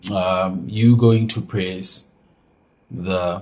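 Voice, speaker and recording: A very slow man's voice, dark and mellow in tone, somewhat breathy, with ordinary pitch variation. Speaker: phone and laptop repair technician. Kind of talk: tutorial. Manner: casual, halting with fillers.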